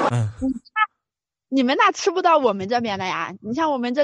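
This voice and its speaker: A woman's high-pitched, fairly quick speech with lively intonation. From Anhui, Suzhou. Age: 20s. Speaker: caller. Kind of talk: casual chat.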